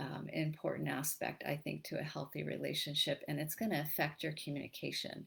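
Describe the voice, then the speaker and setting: Vocal fry runs through a woman's voice as she speaks at a moderate pace. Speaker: relationship coach. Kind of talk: live-streamed talk to an online group. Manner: halting, with many repeated words.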